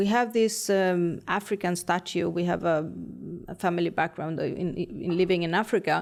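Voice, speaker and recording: Speech comes at a moderate pace. The recording is very clean, with a silent background. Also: woman. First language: not English. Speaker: interior designer. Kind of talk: casual chat. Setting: studio.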